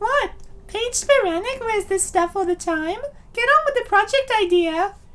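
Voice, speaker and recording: Using a put-on character voice, a man squeaks at an extremely high pitch and a moderate pace. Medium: fan dub.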